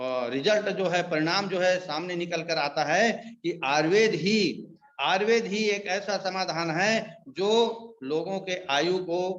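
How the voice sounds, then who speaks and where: This man speaks at a high pitch. His pitch variation is ordinary. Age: 70s. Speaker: ayurvedic product distributor. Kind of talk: sales pitch.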